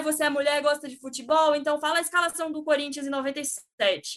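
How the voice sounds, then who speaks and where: A woman's high, raised and projected voice, bright and sharp in tone, at a moderate pace with hardly any pauses, fairly even intonation and big swings in loudness. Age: 20s. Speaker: sports journalist. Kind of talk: casual chat.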